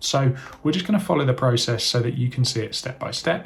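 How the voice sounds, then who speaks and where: Over noticeable background noise, a man with a British accent and a medium pitch talks very fast with lively intonation. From UK. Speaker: online business educator. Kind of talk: tutorial. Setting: screen-share recording.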